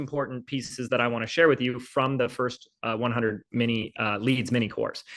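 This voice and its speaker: A man with a normal speaking voice talks at a moderate pace and medium pitch against a quiet background. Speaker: business coach. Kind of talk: live online training. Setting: livestream video call.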